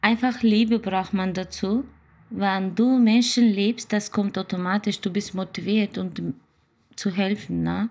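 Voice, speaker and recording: A woman speaks at a medium pitch with a Turkish accent, her voice somewhat breathy and her intonation fairly even, on a very clean recording with a silent background. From Turkey. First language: Turkish (speaking German). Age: 30s. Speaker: care assistant. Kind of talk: interview. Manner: halting.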